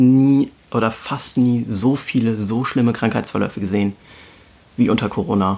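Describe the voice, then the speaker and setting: A man's ordinary speaking voice, medium in pitch, at a moderate pace with fairly even intonation. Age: 20s. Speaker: intensive care nurse. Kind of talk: casual conversation.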